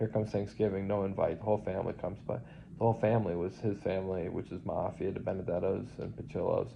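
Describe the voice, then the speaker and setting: Somewhat breathy, a man with a fairly low pitch talks at a fairly quick pace using fairly even intonation. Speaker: vlogger in nursing home. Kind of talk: personal testimony monologue. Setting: nursing home. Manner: fast; rambling, halting with fillers.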